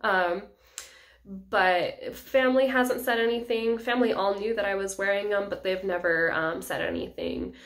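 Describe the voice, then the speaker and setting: Audible room echo fills the space. A woman speaks at a moderate pace. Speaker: EMT reviewing clear aligners. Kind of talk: vlog review. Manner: casual, many filler ums.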